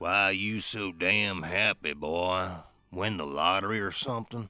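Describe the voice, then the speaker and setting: Doing a put-on character voice, a man speaks fairly slowly in a gravelly, gruff, very deep and low pitch over music in the background. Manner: snorting, gruff.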